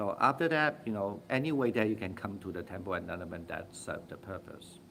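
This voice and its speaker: A man with a non-native accent, fairly low in pitch, at a moderate pace. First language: not English. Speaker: Buddhist meditation teacher. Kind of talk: Dharma talk with Q&A. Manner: halting, frequent fillers.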